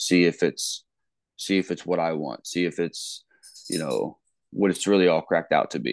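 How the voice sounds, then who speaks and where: A man with a Midwestern American accent at a moderate pace, broken by long, frequent pauses. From Ohio, US Midwest. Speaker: college football coach. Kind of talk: casual interview.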